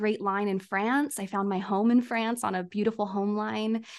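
Against a quiet background, a woman speaks at medium pitch with a Californian accent. Her intonation is monotone and flat. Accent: Californian American English. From US, San Diego area. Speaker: astrologer. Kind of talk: casual interview chat.

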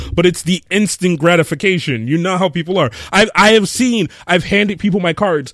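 A high-pitched man speaking with hardly any pauses against noticeable background noise. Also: ordinary pitch variation, fairly quick pace. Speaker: podcast co-host. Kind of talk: casual chat. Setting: live stream.

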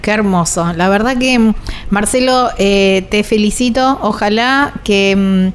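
A woman's fairly high voice comes through at a fairly slow pace, with noticeable background noise behind it. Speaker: radio travel show host. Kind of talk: casual chat. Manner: animated.

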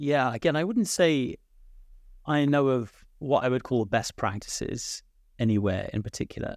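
A man with a British accent talks with lively intonation. He leaves long, frequent pauses. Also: medium pitch for a man, moderate pace. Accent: British, UK English. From UK. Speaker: executive director of a political nonprofit. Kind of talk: moderated debate discussion. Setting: remote, based in Ireland. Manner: hesitant, hedging, many filler words.

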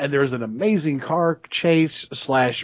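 Speaking in a Southern US accent, a man keeps a moderate pace. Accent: Southern American. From US South. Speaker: podcast co-host. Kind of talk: casual chat.

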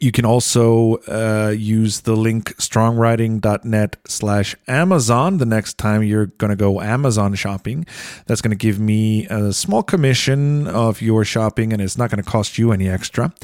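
A man with an Icelandic accent speaks at a moderate pace and medium pitch, with hardly any pauses. His loudness stays very even and his pitch varies in an ordinary way, in a dry, close sound with no echo on a very clean recording with a silent background. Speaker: podcast host and singer-songwriter. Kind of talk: podcast intro and outro; casual chat.

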